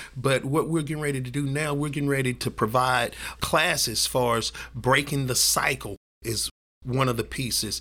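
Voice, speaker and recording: This man has a Southern US accent and a bright, sharp tone at a medium pitch. He speaks at a moderate pace with fairly even intonation. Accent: Southern US (Georgia). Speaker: ministry director. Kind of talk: testimony. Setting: office at outreach center.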